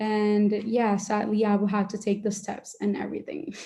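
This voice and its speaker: A woman's somewhat breathy voice with a dark, mellow tone. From Dominican Republic. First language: Spanish. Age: young. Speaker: medical student and debate coach. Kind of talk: Q&A in an online workshop. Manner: uses many filler words.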